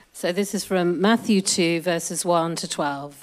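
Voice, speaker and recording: In a very clean recording with a silent background, a woman with a Yorkshire accent speaks at a moderate pace in a fairly low pitch. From Yorkshire, northern England. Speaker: scripture reader in church congregation. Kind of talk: reading aloud.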